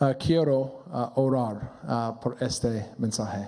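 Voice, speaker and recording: With an English accent, a man at a medium pitch speaks at a very slow pace with ordinary pitch variation. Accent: non-native Spanish, English speaker. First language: English (speaking Spanish). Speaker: pastor. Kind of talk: sermon. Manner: halting, many fillers.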